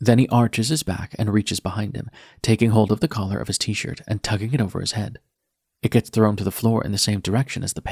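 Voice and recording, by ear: Reading aloud in a natural voice, with fairly even intonation over a quiet background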